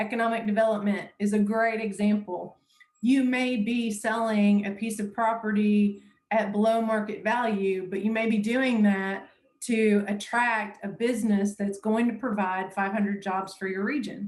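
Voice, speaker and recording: A monotone, flat delivery, somewhat breathy, at a moderate pace. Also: woman, fairly high pitch for a woman. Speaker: municipal law trainer. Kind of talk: lecture.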